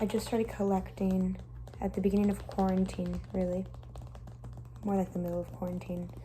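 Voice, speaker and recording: A soft-spoken woman talks at a fairly quick pace. Her speech is broken by long, frequent pauses. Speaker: ASMR creator. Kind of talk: ASMR collection show-and-tell talk.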